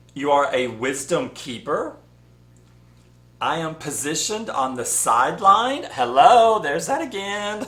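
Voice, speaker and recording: With an American accent, a man speaks at a high pitch and a fairly slow pace, swinging very widely in pitch. Audible room echo surrounds his voice. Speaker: spiritual channel host. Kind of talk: casual vlog monologue. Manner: rambling, conversational with fillers.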